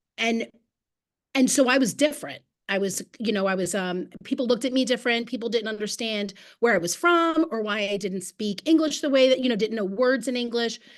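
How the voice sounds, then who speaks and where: Against a quiet background, a woman talks at a fairly high pitch. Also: ordinary pitch variation, moderate pace. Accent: Philadelphia. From Philadelphia (Frankford), Puerto Rican family. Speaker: educator. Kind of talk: panel discussion. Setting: video call.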